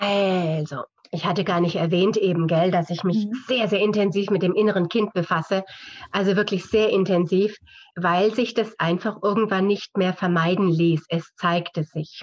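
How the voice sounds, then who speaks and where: This is a plain, everyday voice, delivered at a moderate pace with fairly even intonation. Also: woman, medium pitch for a woman. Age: 50s. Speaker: physiotherapist, author and seminar leader. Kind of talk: interview conversation.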